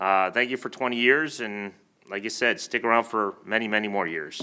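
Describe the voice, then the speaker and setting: A man speaks loudly at a moderate pace with a bright, sharp tone. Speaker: village trustee, retired police officer. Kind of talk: board meeting remarks. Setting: village board meeting room.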